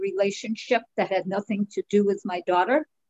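Someone talks at a moderate pace with a New York accent. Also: woman. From New York (Brooklyn, Long Island). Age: 70s. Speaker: author and artist. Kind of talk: interview. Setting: video call. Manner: animated.

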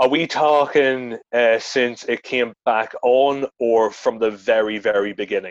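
With a Northern Irish accent, a man talks at a fairly slow pace and medium pitch, keeping his intonation fairly even. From Northern Ireland, near Newry. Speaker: comedian and actor. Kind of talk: casual chat.

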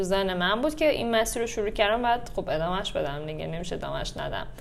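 A woman's medium-pitched voice at a very fast pace with hardly any pauses, plus audible room echo. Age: 30s. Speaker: yoga instructor. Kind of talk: casual chat.

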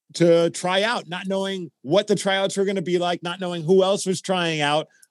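Over a silent background in a very clean recording, a man with an American accent talks at a fairly quick pace and a high pitch, the sound dry and close with no echo. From Brooklyn, New York. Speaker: radio personality.

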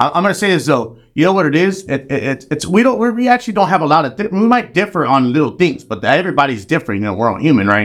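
On a very clean recording with a silent background, a man with an American accent talks very fast with hardly any pauses. His pitch is fairly high with very wide swings, and his voice has vocal fry. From Chicago. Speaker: musician and studio board operator. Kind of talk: casual chat.

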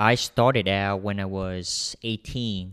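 A man speaks with a Vietnamese accent and fairly even intonation. The recording is very clean with a silent background and a dry, close sound with no echo. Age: young. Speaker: software developer. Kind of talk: interview.

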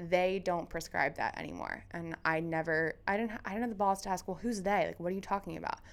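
A woman uses a plain, everyday voice at a medium pitch, talking at a fairly quick pace with fairly even intonation. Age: 20s. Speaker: podcast co-host. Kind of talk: casual chat. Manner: fast.

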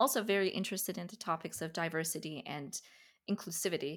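In an Iranian accent, a woman speaks at a moderate pace in a very clean recording with a silent background. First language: Farsi. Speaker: podcast host. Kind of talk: interview conversation.

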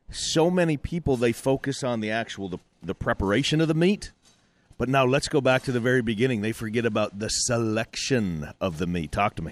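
A man with an unremarkable speaking voice talks at a medium pitch and a fairly quick pace, his intonation lively. The recording is very clean with a silent background, and the sound is dry and close with no echo. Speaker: producer and sound engineer. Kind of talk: casual chat. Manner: joking.

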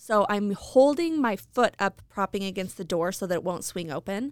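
This woman has a medium pitch with ordinary pitch variation and a plain, everyday voice. The sound is dry and close with no echo, on a very clean recording with a silent background. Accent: American. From Idaho Falls, Idaho. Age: 40s. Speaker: podcast co-host. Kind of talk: casual chat.

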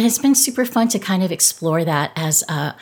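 At a fairly quick pace comes an unremarkable speaking voice. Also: woman. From Southern California. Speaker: pastor. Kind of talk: interview.

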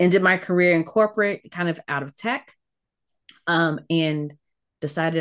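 An unremarkable speaking voice from a woman with an American accent, fairly low pitch and fairly even intonation. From Virginia, US South. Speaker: consultant and coach. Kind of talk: interview conversation.

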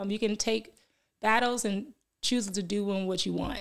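A woman with an American accent has a plain, everyday voice at a medium pitch. Her intonation is fairly even and her pace moderate. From Milwaukee, Wisconsin. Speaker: fitness business owner and life coach. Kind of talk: podcast interview. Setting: studio.

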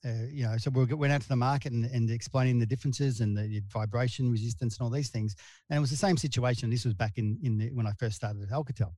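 Very fast, with hardly any pauses, a somewhat breathy, dark and mellow voice with an Australian accent comes through a very clean recording with a silent background. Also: man, medium pitch for a man, ordinary pitch variation. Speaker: sales and marketing director. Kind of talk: interview. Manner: halting.

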